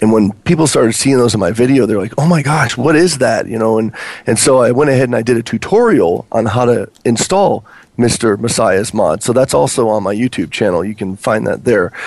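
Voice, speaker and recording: Speaking at a fairly quick pace, a man with an ordinary speaking voice uses medium pitch and lively intonation. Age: 30s. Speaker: Minecraft YouTuber and website owner. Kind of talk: casual chat.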